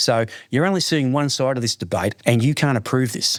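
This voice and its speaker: With a strong Australian accent, a man speaks in an animated tone at a fairly quick pace, with ordinary pitch variation and a dry, close sound with no echo. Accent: broad Australian. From Australia, Melbourne's west. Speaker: lawyer. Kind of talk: interview. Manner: repeats words, animated storytelling.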